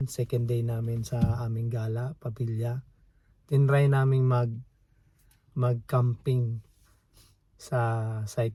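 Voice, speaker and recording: Quiet and somewhat breathy, a man speaks in a dark, mellow tone at medium pitch with monotone, flat intonation. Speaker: family vlogger. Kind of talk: casual vlog. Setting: outdoors at campsite, in van. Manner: halting.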